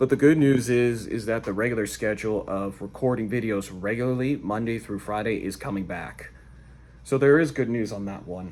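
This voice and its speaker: A man talks at a fairly quick pace and medium pitch. It is an unremarkable speaking voice with ordinary pitch variation. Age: 20s. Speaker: vlogger and car wash worker. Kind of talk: casual vlog monologue.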